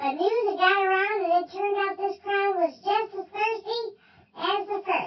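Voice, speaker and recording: Doing a put-on character voice, a woman speaks in an extremely high, squeaky pitch with fairly even intonation at a moderate pace. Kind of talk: tall tale telling. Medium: read story. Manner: folksy, chatty, stumbling.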